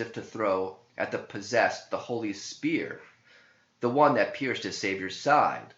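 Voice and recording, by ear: The pace is fairly slow, with audible echo from the room. The tone comes across as fairly bright. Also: man.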